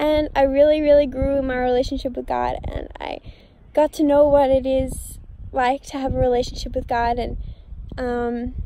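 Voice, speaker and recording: Speaking at a moderate pace, a woman with an American accent has a high pitch and a dark, mellow tone. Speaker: vlogger. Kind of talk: testimony; casual vlog chat. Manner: passionate, animated; unscripted, rambling with many fillers.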